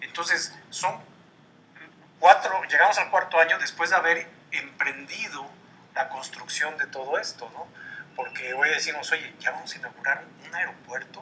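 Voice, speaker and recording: A man at a moderate pace, with long, frequent pauses and big swings in loudness. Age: 60s. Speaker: columnist and political commentator. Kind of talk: TV interview.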